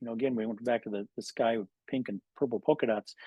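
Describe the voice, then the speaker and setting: The speaker has an American accent and a fairly quick pace. Pitch variation is ordinary. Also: man. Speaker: physician and webinar speaker. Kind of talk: lecture. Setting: video call. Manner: fast; halting, many fillers.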